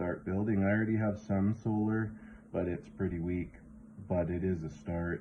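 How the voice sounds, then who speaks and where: A man speaks with a western Canadian accent. His pitch is very deep and low. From western Canada. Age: 40s. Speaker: vlogger. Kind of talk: casual vlog talk.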